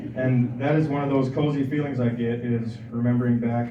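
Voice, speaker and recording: A man with an American accent, medium-pitched for a man, monotone and flat in intonation, at a fairly quick pace, with audible room echo and noticeable background noise. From US Midwest (Aberdeen, South Dakota). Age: 20s. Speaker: recovering alcoholic speaker. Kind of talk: recovery testimony speech.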